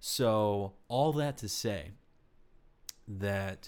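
The intonation is lively as a man speaks with an American accent. The recording is very clean, with a silent background. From Texas. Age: 20s. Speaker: acting student. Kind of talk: casual chat.

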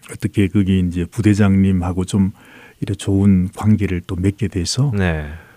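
A man with a very deep, low pitch and a dark, mellow tone talks at a moderate pace with fairly even intonation, in a dry, close sound with no echo. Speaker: Salvation Army officer and church council president. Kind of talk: radio interview testimony.

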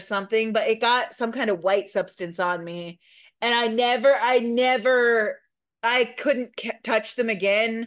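Over a quiet background, a woman with a slight Midwestern US accent speaks fairly slowly at a fairly high pitch with ordinary pitch variation. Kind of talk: casual chat.

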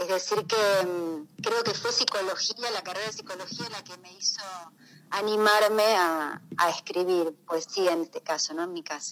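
A woman's medium-pitched voice, fairly slow and fairly even in intonation, with big swings in loudness. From Rosario, Argentina. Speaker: poet. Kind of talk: radio interview. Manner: halting.

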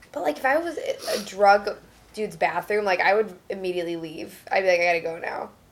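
A woman with an unremarkable speaking voice talks at a fairly quick pace, her pitch medium with ordinary variation. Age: 20s. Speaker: comedian. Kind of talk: casual chat.

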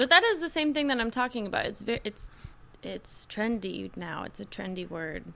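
A woman with a fairly high pitch speaks at a moderate pace, her loudness swinging a lot and her pitch swinging very widely. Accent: American. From rural Indiana, Kentucky family. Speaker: guest. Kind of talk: casual chat.

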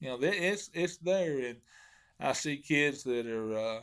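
A man with a Southern US accent at a fairly slow pace, with lively intonation, in a very clean recording with a silent background. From Arkansas (Hot Springs). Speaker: professional bass angler. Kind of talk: casual interview.

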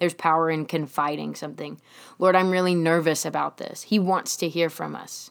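On a very clean recording with a silent background, a woman talks at a fairly low pitch and fairly quick pace, with monotone, flat intonation and big swings in loudness. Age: 20s. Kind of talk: casual faith talk monologue.

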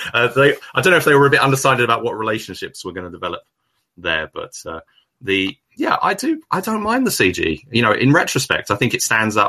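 Talking very fast, this man has an English accent. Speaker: film podcast guest, reviewer. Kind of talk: casual chat. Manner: halting.

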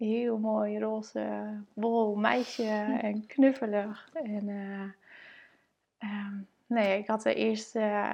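Her pitch is fairly high. The woman speaks with monotone, flat intonation. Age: 30s. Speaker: mother and blogger. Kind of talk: personal testimony.

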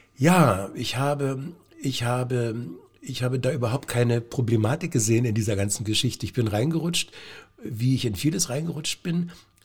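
A man's somewhat breathy voice at a medium pitch, moderate in pace, with ordinary pitch variation. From Brandenburg, Lower Lusatia (Lieberose near Cottbus). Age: 60s. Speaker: stage actor. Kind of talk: casual interview.

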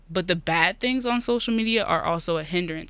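A woman's bright, sharp tone with an American accent, moderate pace and ordinary pitch variation, in a very clean recording with a silent background. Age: young (19). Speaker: college student. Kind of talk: interview podcast.

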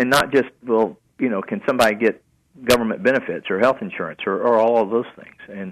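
Against a quiet background, a man with a Southern US accent talks in a fairly low pitch. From US South, Chattanooga area. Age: 60s. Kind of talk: radio interview.

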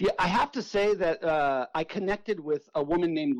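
A man with an American accent in a plain, everyday voice, moderate pace, ordinary pitch variation, and a dry, close sound with no echo. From Southern California. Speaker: author and punk drummer. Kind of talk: radio interview.

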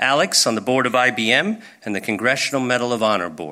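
A man talks at a moderate pace in a bright, sharp tone marked by vocal fry. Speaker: business executive introducing speakers. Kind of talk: stage introduction.

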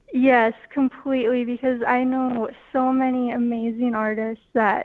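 A woman with an Upper Midwest accent talks at a fairly slow pace in a high pitch with monotone, flat intonation. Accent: Upper Midwest (Minnesota). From northwest Minnesota. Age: young. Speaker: art student. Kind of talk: radio interview. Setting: phone call.

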